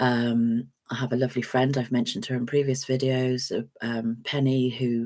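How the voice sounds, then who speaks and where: A woman speaks with an English accent in a very deep, low pitch. Her pace is fairly slow and her intonation monotone and flat. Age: 60s. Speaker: vlogger. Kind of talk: casual chat. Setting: live stream. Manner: hesitant, many fillers.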